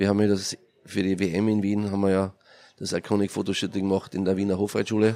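In a Carinthian accent, a man talks at a very fast pace, his fairly low, dark, mellow voice held in monotone, flat intonation. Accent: Austrian German, Carinthian. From Austria, Carinthia. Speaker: entrepreneur and event organiser. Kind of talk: interview.

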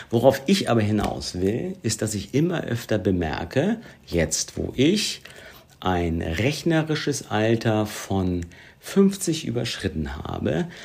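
A man speaks very slowly at a fairly low pitch. His pitch swings very widely. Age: 50s. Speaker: podcast co-host. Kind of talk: casual chat.

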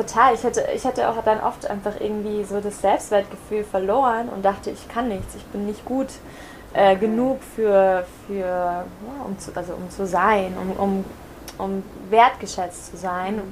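An ordinary speaking voice from a woman, medium in pitch and fairly slow, with fairly even intonation and big swings in loudness. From Germany. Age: 20s. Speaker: yoga teacher. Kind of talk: casual interview. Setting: in person on Mallorca.

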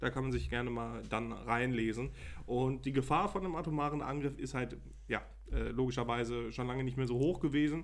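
Room echo is audible around the voice. A man speaks fairly quickly. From Germany, Münsterland (Lembeck, NRW). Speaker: podcast co-host. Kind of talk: casual chat.

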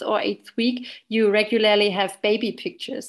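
Against a quiet background, a woman with a German accent speaks at a fairly quick pace, her pitch fairly high and her intonation fairly even. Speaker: obstetrician. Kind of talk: interview.

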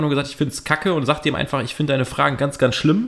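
The pace is very fast. A man speaks with ordinary pitch variation. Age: 30s. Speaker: podcast co-host. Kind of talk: casual chat.

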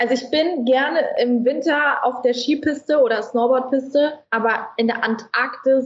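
A woman talks at a fairly slow pace in a high pitch, with hardly any pauses. Her loudness stays very even and her intonation fairly even. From Frankfurt, Germany. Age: 20s. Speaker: social media influencer and fashion brand founder. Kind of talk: casual interview chat.

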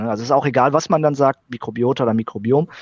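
A man talks at a very fast pace. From Sauerland, Germany. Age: 30s. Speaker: biologist. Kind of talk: interview. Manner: halting, frequent fillers.

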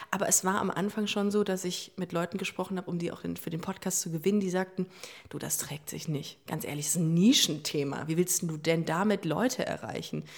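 A woman with a normal speaking voice, fairly low pitch, fairly even intonation and a fairly quick pace. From Hamburg, northern Germany. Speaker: LGBT podcast host. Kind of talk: casual chat.

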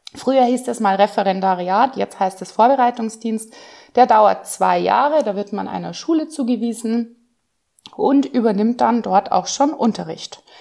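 Against a quiet background, a woman talks at a moderate pace in a normal speaking voice, her pitch fairly high with ordinary variation. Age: 40s. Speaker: secondary school teacher. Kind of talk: casual interview.

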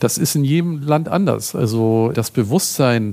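A man speaks at a moderate pace with lively intonation in a plain, everyday voice. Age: 60s. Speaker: food photographer. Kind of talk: interview.

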